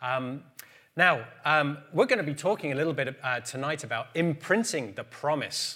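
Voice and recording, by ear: Lively intonation carries this man's fairly high-pitched voice. His tone is fairly bright and his pace moderate.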